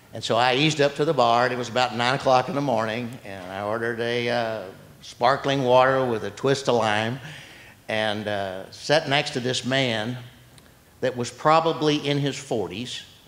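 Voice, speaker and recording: A man with an American accent at a moderate pace, with ordinary pitch variation. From Texas. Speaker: study group member; guest. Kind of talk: testimony. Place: hall. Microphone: handheld.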